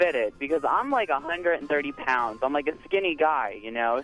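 A fairly high-pitched man at a moderate pace, with lively intonation and music in the background. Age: 20s. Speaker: radio call-in caller. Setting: phone. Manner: casual, chatty, uses filler words.

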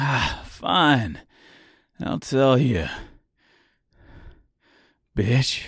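On a very clean recording with a silent background, a man does a put-on character voice at a very slow pace. It has a fairly bright tone, a husky, rough edge and big pitch swings. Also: medium pitch for a man.

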